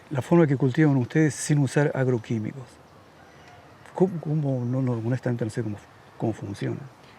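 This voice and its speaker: A somewhat breathy, dark, mellow voice at a fairly quick pace, with long, frequent pauses and ordinary pitch variation. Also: man, medium pitch for a man. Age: 70s. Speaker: radio host. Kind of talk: casual chat.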